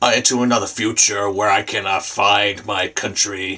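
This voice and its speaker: In a put-on character voice, a man speaks at a moderate pace, raspy and fairly low-pitched, with monotone, flat intonation. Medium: puppet. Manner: hesitant, stammering.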